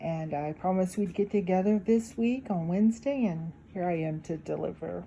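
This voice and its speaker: A woman speaks somewhat breathily at a fairly quick pace. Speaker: YouTube talk channel host. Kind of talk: casual reflective talk to viewers. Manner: occasional hesitations.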